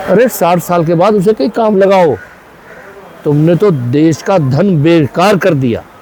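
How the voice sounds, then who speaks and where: Amid noticeable background noise, a man with a high pitch uses lively intonation at very even loudness. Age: 70s. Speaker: wholesale market trader. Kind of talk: interview. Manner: animated.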